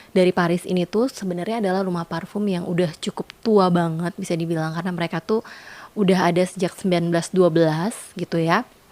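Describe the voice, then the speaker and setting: The sound is dry and close with no echo. A woman speaks at a fairly quick pace with a medium pitch and fairly even intonation. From Indonesia. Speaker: perfume reviewer, YouTuber. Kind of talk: product review vlog. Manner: casual, many fillers and hesitations.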